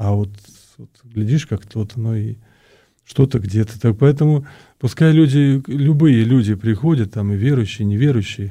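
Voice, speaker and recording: With a dark, mellow, somewhat breathy tone, the speaker goes at a moderate pace with long, frequent pauses, ordinary pitch variation and big swings in loudness, on a very clean recording with a silent background. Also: man, medium pitch for a man. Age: 50s. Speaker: Orthodox priest. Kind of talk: radio interview. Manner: halting, many fillers.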